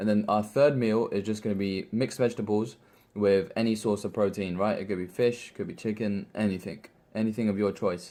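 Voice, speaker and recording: With a British accent, a man speaks fairly quickly in a fairly low, dark, mellow voice on a very clean recording with a silent background. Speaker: fitness vlogger. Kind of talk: casual vlog tutorial. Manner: fast; animated.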